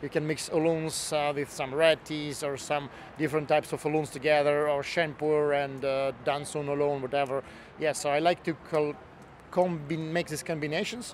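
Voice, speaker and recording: At a moderate pace, a man with a fairly high pitch speaks in a monotone, flat intonation. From Russia. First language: Russian. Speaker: tea expert and author. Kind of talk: interview. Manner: halting, with many fillers.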